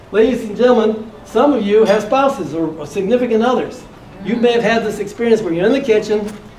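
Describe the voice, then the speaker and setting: The speech comes at a very fast pace. Noticeable background noise and audible room echo fill the recording. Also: man. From US Midwest, Detroit. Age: 60s. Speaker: motivational speaker and real estate investor. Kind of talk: motivational talk.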